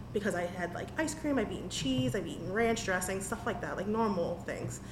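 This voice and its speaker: A woman with an American accent is heard through audible room echo and noticeable background noise. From Washington DC area. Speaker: small business owner. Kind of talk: casual interview. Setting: on location in her shop. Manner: animated.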